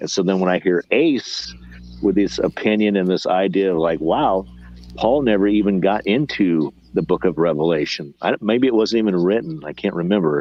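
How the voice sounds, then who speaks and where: Here a man talks at a moderate pace in a fairly low pitch. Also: lively intonation. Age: 50s. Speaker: bible study participant. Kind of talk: casual chat. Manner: halting.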